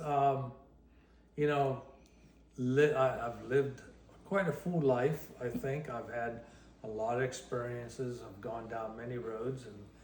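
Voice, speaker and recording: Noticeable background noise behind a man speaking at a very slow pace, with long, frequent pauses and big swings in loudness. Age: 60s. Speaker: guitarist. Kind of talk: interview answer. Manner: casual, hesitant.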